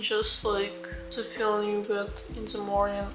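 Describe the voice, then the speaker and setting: Soft-spoken, a woman talks at a fairly slow pace. Music plays in the background and room echo is audible. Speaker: lifestyle vlogger. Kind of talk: vlog narration.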